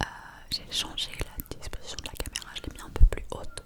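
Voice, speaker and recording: A woman whispers at a moderate pace while noticeable background noise sits behind her. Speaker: ASMR content creator. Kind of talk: casual talk to camera, ASMR whisper. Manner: whispered, soft, intimate.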